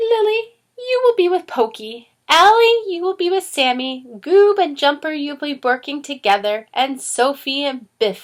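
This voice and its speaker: Speaking in a put-on character voice, a woman uses a high pitch with very wide pitch swings. She keeps a moderate pace with hardly any pauses. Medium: read story. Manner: warm, gentle.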